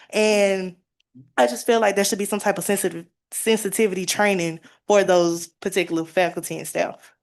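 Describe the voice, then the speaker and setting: Fairly quick pace from a woman with an American accent, medium pitch and ordinary pitch variation. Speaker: university student. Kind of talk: public comment at listening session. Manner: halting.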